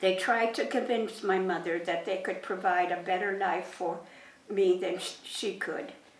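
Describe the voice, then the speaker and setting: Over noticeable background noise and audible room echo, a woman at a medium pitch speaks fairly slowly with fairly even intonation. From Germany, raised in Poland, later western Canada. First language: German and Polish. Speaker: war survivor. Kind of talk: reading aloud a prepared talk to students.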